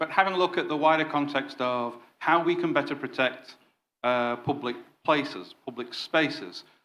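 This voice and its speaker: In a Yorkshire accent, a man talks at a moderate pace with a fairly high pitch and ordinary pitch variation. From northern England, Yorkshire. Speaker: former counterterrorism detective, consultancy director. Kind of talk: conference presentation. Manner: hesitant fillers.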